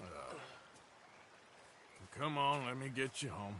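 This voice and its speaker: A man speaks in a put-on character voice, raspy and at a fairly slow pace. His pitch is medium with ordinary variation, and background noise is clear. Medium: video game. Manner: laconic drawl.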